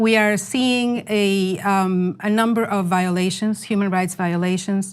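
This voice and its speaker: A woman with a Spanish accent talks at a medium pitch with ordinary pitch variation and a fairly slow pace. The recording is very clean, with a silent background. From Venezuela. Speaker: journalist. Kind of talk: interview. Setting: studio.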